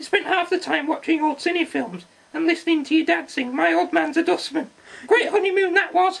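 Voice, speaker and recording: This cartoonish character voice sits at an extremely high pitch and moves at a fairly quick pace. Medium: puppet.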